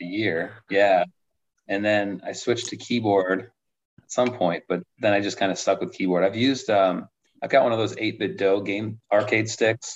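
Fairly low in pitch, a man with an unremarkable speaking voice talks at a moderate pace with fairly even intonation. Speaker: competitive arcade gamer. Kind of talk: casual chat.

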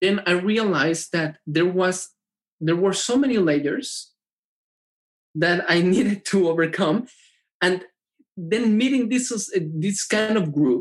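Speaking at a very slow pace with long, frequent pauses, a man with a Spanish accent uses a high pitch, ordinary pitch variation and very even loudness. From Mexico. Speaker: tech entrepreneur and triathlete. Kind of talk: casual interview chat. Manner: halting.

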